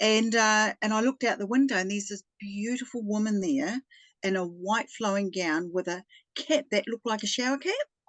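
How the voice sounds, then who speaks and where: Speaking at a fairly quick pace with a New Zealand accent, a woman has a fairly high pitch and ordinary pitch variation. The sound is dry and close, with no echo. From New Zealand, Taranaki. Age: 60s. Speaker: retired spiritual healer. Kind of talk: personal testimony in interview.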